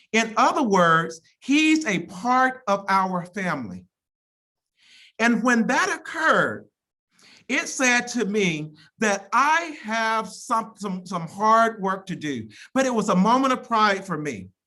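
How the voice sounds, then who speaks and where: With an American accent, a woman speaks very slowly in a bright, sharp, fairly high voice whose pitch swings very widely. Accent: Southern drawl, occasional. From Mississippi, US South. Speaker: college president. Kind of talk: commencement speech. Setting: virtual ceremony via video call. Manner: halting, frequent repetitions.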